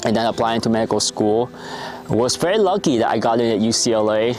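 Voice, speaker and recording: Music plays behind a man talking at a fairly quick pace. His voice sits at a medium pitch. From Vietnam. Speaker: doctor. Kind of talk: personal talk to camera. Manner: halting, with fillers.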